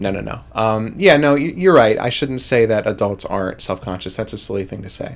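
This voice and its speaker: Talking at a fairly quick pace with hardly any pauses, a man with a fairly low pitch and an unremarkable speaking voice uses lively intonation and big swings in loudness. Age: 20s. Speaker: podcast co-host, animation student. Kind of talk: casual chat.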